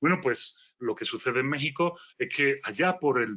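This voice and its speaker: The speaker has a strong Galician accent. The pace is moderate. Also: man. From Galicia, Spain. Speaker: philosopher, speaker. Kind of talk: lecture. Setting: virtual conference.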